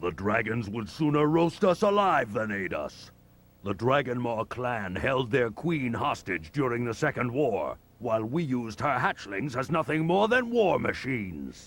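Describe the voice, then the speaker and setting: A man's put-on character voice at a medium pitch and moderate pace. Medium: video game. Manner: blunt, gruff.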